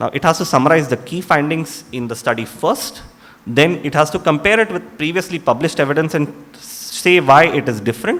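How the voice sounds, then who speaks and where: A fairly high-pitched man with a Tamil accent at a fairly quick pace, with noticeable background noise behind him. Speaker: doctor. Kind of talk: lecture.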